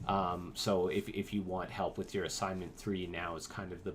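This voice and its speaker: A man's fairly low voice at a moderate pace, ordinary pitch variation, and audible room echo. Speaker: instructor teaching architecture students software. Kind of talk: lecture. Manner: hesitant, many fillers.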